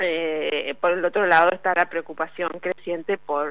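A woman speaks in an unremarkable speaking voice, her pitch fairly low. Her intonation stays fairly even at a fairly slow pace. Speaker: journalist covering labor politics. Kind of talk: radio interview segment.

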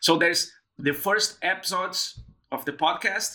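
In a Portuguese accent, a man talks at a very slow pace. His tone is bright and sharp, with ordinary pitch variation. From southern Brazil, Rio Grande. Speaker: PhD student and podcaster. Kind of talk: interview conversation.

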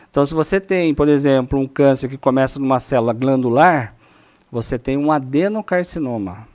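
At a moderate pace, a man with a normal speaking voice talks at a fairly high pitch with ordinary pitch variation. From Brazil, São Paulo state (Itu/Sorocaba). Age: 40s. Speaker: oncologist. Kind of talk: podcast interview.

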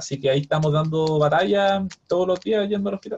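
A man with a fairly high, somewhat breathy voice speaks fairly quickly, his pitch varying in an ordinary way. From Chile, Viña del Mar. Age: 30s. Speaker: biochemist and property investor. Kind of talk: interview.

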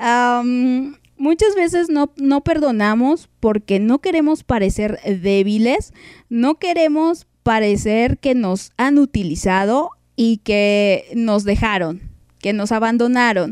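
A woman speaks very slowly in a high pitch, her intonation lively and her loudness very even, in a dry, close sound with no echo. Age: 30s. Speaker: podcast host. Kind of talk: casual chat. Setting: live stream.

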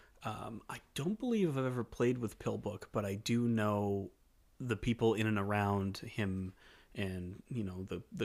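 In a very clean recording against a silent background, a man talks in an ordinary speaking voice pitched fairly low. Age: 20s. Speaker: podcast co-host. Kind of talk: casual chat. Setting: studio.

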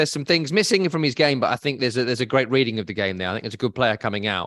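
With a British accent, the man talks while the background stays quiet. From Scotland. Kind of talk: casual chat. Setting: video call.

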